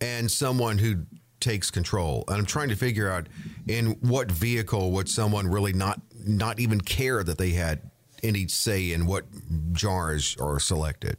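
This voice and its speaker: A man speaks in a fairly low voice at a moderate pace, with ordinary pitch variation, very even loudness, and a plain, everyday voice. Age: 50s. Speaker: podcast co-host. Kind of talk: casual chat.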